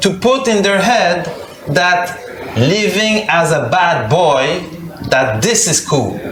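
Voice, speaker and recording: With a Quebec accent, a high-pitched man speaks very slowly and at very even loudness, leaving long, frequent pauses, amid audible room echo and noticeable background noise. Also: lively intonation. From Quebec, Canada (Montreal). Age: 40s. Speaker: speaker on Islamic conversion, former gangster. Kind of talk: testimony. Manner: halting with repetitions.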